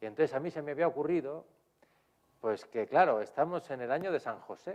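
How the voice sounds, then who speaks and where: With a Spanish accent, a man talks using ordinary pitch variation. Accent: Spanish (Spain). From Spain. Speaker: priest and theology professor. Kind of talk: lecture. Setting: lecture hall with audience, streamed. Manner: hesitant, with frequent fillers.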